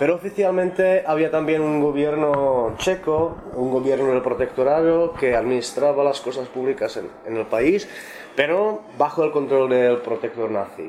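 A man with a Czech accent speaks with ordinary pitch variation over noticeable background noise. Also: fairly high pitch for a man, fairly slow pace. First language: Czech (speaking Spanish). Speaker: translator and journalist. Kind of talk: round-table discussion. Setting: bookshop event with audience.

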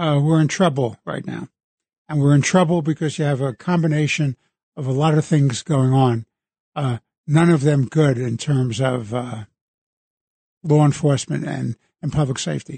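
A man speaks with a dark, mellow tone, a somewhat breathy quality and a fairly high pitch, leaving long, frequent pauses. The sound is dry and close, with no echo. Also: ordinary pitch variation, moderate pace. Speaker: retired judge. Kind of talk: talk radio.

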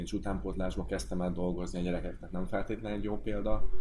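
Very wide pitch swings mark this man's speech, delivered at a very fast pace. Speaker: former professional footballer. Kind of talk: casual chat.

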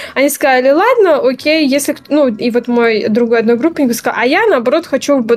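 A woman's high voice at a fairly quick pace, with ordinary pitch variation and very even loudness. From Belarus. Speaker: game design graduate. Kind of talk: interview.

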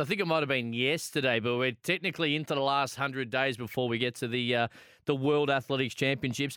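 A man's fairly high voice with an Australian accent, very fast and very even in loudness, with ordinary pitch variation on a very clean recording with a silent background. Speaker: sports radio host. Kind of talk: casual radio sports chat. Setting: radio studio.

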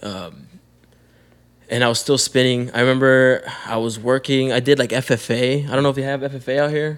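A man keeps his intonation fairly even while talking at a moderate pace. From Calexico, California (US-Mexico border). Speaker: rapper. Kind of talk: casual chat.

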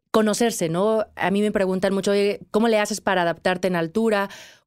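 In a very clean recording with a silent background, a woman speaks at a medium pitch in a monotone, flat intonation. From Mexico. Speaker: podcast host, mountaineer. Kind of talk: interview.

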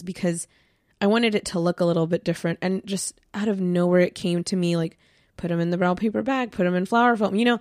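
A woman talks at a fairly quick pace in a normal speaking voice with a medium pitch. Her pitch varies in an ordinary way, and the sound is dry and close with no echo. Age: 20s. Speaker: podcast co-host, graduate student. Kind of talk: casual chat.

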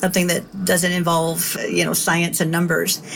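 This woman's fairly low voice moves at a fairly quick pace, with noticeable background noise behind it. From Kentucky, US. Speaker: former FBI agent. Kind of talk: interview testimony.

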